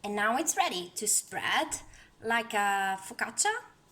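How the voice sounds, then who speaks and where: A woman in an Italian accent, medium-pitched with a bright, sharp tone and very wide pitch swings. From Italy. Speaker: home cook and tarot content creator. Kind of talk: cooking tutorial. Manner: casual, hesitant with fillers.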